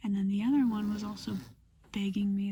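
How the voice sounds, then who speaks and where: A woman whispers softly at a fairly quick pace, her voice somewhat breathy. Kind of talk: ASMR storytime in a car, casual talk to camera. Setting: inside a parked car with rain outside. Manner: soft-spoken, whispered.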